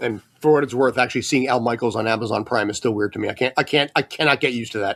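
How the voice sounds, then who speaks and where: A man with an American accent at a very fast pace over noticeable background noise. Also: medium pitch for a man, fairly even intonation, dry, close sound with no echo. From US, San Francisco Bay Area. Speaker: sportswriter. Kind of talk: casual interview chat.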